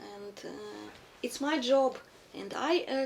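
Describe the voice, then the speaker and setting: Through noticeable background noise, a woman speaks at a high pitch with ordinary pitch variation. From Ukraine. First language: Russian or Ukrainian. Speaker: refugee. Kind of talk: interview. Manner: halting.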